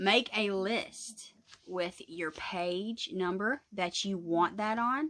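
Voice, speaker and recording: A woman speaks at a medium pitch with ordinary pitch variation and a Southern US accent. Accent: Southern US rural. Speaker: craft YouTuber. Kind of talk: casual tutorial vlog. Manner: rambling, chatty.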